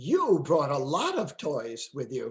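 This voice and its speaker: A man puts on a character voice. He speaks at a fairly slow pace with a fairly high pitch. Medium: read story. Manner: gentle, warm.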